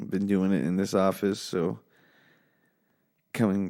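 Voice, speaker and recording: A man speaks quietly with a fairly low pitch and a dark, mellow tone. The recording is very clean, with a silent background. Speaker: podcast host. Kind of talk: casual solo podcast chat. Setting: home office. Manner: talking low and quiet.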